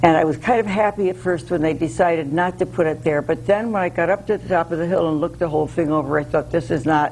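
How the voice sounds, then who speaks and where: A woman with an American accent speaks at a very fast pace with hardly any pauses. Her pitch is very deep and low, with ordinary variation. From US Northeast, Connecticut. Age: 80s+. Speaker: local preservation activist. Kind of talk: interview.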